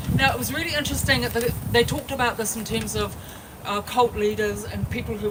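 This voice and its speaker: A woman with a New Zealand accent talks at a very fast pace. There is noticeable background noise. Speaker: activist speaker. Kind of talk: protest speech. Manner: loud.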